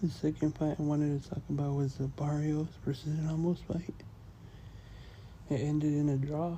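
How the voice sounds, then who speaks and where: Soft-spoken at a moderate pace, the voice breaks into long, frequent pauses. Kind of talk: ASMR soft-spoken commentary.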